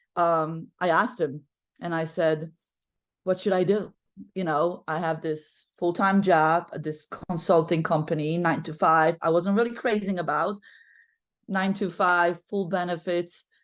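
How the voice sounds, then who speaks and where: A woman with a Polish accent against a quiet background. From Poland. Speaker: basketball coach. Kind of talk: podcast interview. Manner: talkative.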